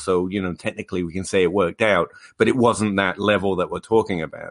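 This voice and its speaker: A man's fairly low voice at a fairly quick pace against a quiet background. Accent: English. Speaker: fantasy football podcast host. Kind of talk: casual chat. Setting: video call. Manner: playful.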